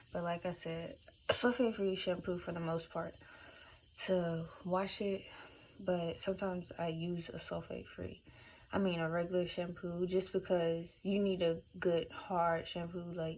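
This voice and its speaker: Mumbling at a moderate pace, a woman speaks at a fairly low pitch with monotone, flat intonation. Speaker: beauty vlogger. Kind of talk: casual tutorial. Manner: casual, filler-heavy.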